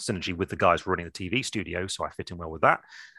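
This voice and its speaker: Over a quiet background, a man with an English accent talks at a very fast pace with ordinary pitch variation, the sound dry and close with no echo. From England. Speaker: miniature painting teacher. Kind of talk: casual chat.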